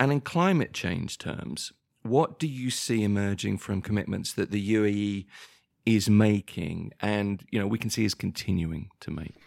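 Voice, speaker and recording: On a very clean recording with a silent background, a man with a southern English accent speaks at a fairly low pitch with lively intonation. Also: moderate pace. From southern England, near London. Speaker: podcast co-host. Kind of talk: casual chat.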